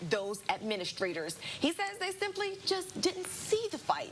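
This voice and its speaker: With music in the background, a woman keeps a moderate pace. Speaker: news anchor. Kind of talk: local TV news anchor delivery. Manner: clear, polished, broadcast-style.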